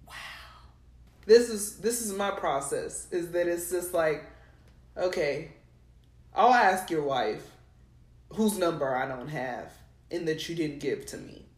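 At a fairly slow pace with long, frequent pauses, a woman speaks with lively intonation and a fairly low pitch, her loudness swinging widely, with audible room echo. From New Mexico. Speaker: podcast co-host. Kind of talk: casual chat.

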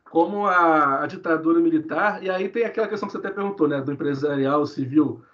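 A plain, everyday voice from a man, with ordinary pitch variation. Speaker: history researcher. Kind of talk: podcast interview.

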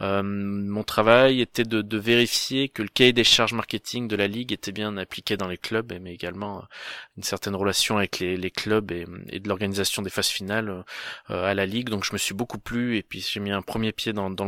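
On a very clean recording with a silent background, a man speaks at a fairly quick pace in a fairly low, bright, sharp voice with monotone, flat intonation and a dry, close sound with no echo. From France, Auvergne (Cantal, Aurillac). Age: 20s. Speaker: sports club event project manager. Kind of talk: interview. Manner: hesitant, many repetitions.

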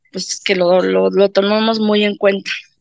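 A woman's voice in a dry, close sound with no echo. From Mexico City. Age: 50s. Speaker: patient. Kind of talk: testimony. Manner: halting, many fillers.

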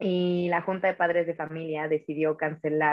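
This woman speaks at a moderate pace in a fairly low pitch, her intonation monotone and flat. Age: 20s. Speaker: singer and musical theatre actress. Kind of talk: casual interview.

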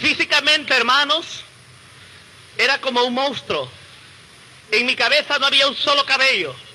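Amid noticeable background noise, a man with an extremely high pitch uses a raised, projected voice and an animated tone, holding very even loudness at a moderate pace broken by long, frequent pauses. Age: 30s. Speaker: evangelical testimony speaker. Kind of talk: testimony.

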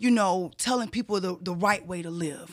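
On a very clean recording with a silent background, a woman with an unremarkable speaking voice talks with ordinary pitch variation. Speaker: podcast co-host, interviewer. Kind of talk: casual interview.

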